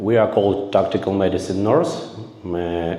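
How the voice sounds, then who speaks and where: Fairly slow speech from a man with a Ukrainian accent, audible room echo and noticeable background noise. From Ukraine. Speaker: volunteer combat medic instructor. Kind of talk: conference presentation. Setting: conference room with audience. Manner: halting, many filler sounds.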